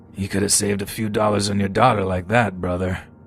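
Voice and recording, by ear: A man puts on a raspy character voice with a fairly low pitch and monotone, flat intonation. He rattles along at a very fast pace over clear background noise.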